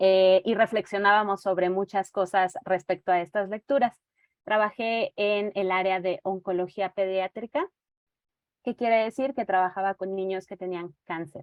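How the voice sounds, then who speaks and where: Woman's voice at medium pitch, fairly slow in pace, with fairly even intonation. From central Mexico (Toluca, State of Mexico). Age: 30s. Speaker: teacher and reading mediator. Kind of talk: online presentation. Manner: hesitant fillers.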